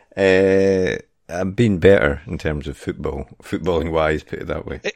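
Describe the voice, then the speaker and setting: This man's pitch is very deep and low, with ordinary variation. He talks at a fairly slow pace, and his loudness swings widely. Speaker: football podcast co-host. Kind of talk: casual chat. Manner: halting.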